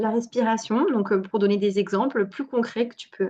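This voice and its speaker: Ordinary pitch variation and a moderate pace from a woman with a fairly high pitch. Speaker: fertility coach and naturopath. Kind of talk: online workshop talk. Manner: animated.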